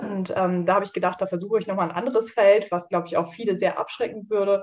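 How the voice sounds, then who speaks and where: With fairly even intonation, it is a plain, everyday voice. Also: woman. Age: 20s. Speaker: social worker and seminar trainer. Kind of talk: casual interview.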